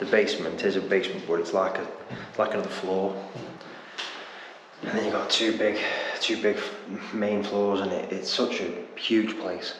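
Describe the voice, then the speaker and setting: A man's fairly low voice at a moderate pace, monotone and flat, with long, frequent pauses, audible room echo and noticeable background noise. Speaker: urban explorer vlogger. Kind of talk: casual vlog chat. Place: empty room. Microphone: phone near.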